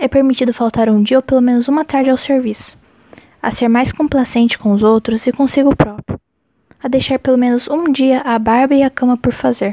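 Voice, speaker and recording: Recorded with a dry, close sound and no echo, a woman talks at a fairly quick pace and high pitch, with fairly even intonation and very even loudness. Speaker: podcast host reading a chronicle aloud. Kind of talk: literary audiobook reading, a written chronicle read aloud in a measured, expressive way. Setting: late-night home recording, solo. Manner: intimate, earnest, heartfelt tone.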